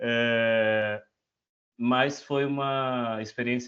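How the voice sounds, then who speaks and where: A man with a medium-pitched voice speaks against a quiet background. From northern Brazil, Altamira, Pará. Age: 20s. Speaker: education researcher. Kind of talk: self-introduction in an online meeting. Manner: halting, many fillers.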